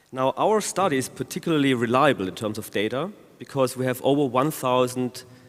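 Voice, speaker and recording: At a moderate pace, a man with a German accent speaks with lively intonation. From Germany. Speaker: law professor. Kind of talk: conference talk.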